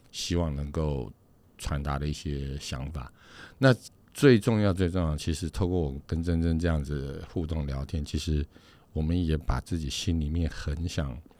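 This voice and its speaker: Against a silent background in a very clean recording, a man speaks at a moderate pace with a very deep, low pitch and a dark, mellow tone. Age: 40s. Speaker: podcast co-host. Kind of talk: casual chat. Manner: halting, many repeated words.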